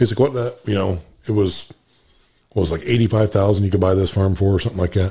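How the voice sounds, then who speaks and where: Speaking at a very fast pace, a man with a very deep, low pitch and a dark, mellow tone sounds somewhat breathy, with ordinary pitch variation. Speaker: farmer and podcast co-host. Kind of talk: casual chat.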